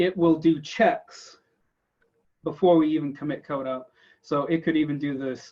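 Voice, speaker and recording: The speaker is a man. His pitch is fairly high. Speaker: tech conference speaker. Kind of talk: technical presentation. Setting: video call. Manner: fast.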